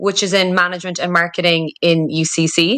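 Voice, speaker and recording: Speaking in a Cork accent, a woman has a medium pitch, a bright, sharp tone, fairly even intonation and a moderate pace. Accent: Cork Irish. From Ireland, Cork City. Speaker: marketing director. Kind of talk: interview. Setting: podcast recording.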